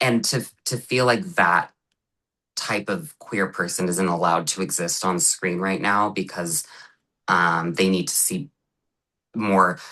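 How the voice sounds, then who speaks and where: With a General American accent, a man speaks at a very deep, low pitch in a bright, sharp tone, keeping a fairly slow pace broken by long, frequent pauses. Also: ordinary pitch variation. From US Midwest, Cincinnati, Ohio. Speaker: actor and comedian. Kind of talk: casual interview chat. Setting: podcast. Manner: feminine-sounding speech; hesitant, many fillers.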